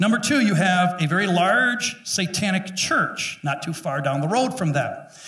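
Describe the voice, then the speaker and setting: A raised, projected voice with lively intonation keeps a moderate pace with hardly any pauses, and audible room echo surrounds it. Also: man, high pitch for a man. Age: 50s. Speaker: pastor. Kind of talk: sermon. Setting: church. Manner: animated. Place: church. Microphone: headset.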